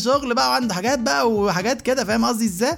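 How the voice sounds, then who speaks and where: This man talks at a very fast pace with a high pitch, very wide pitch swings and an animated tone. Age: 30s. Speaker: podcast host. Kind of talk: casual comedic monologue.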